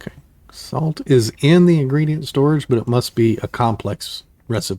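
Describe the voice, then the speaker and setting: The voice has a dark, mellow tone and is somewhat breathy, with ordinary pitch variation. It moves at a moderate pace, and the sound is dry and close with no echo. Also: man, fairly high pitch for a man. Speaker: gaming youtuber. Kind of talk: gameplay commentary. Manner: casual, thinking aloud.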